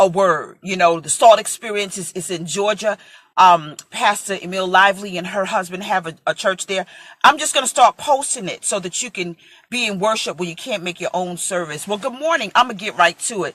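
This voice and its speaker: A woman with a plain, everyday voice and an American accent, medium pitch with ordinary variation, a fairly quick pace, and big swings in loudness. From New York (Brooklyn). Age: 40s. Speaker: preacher. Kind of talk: casual chat.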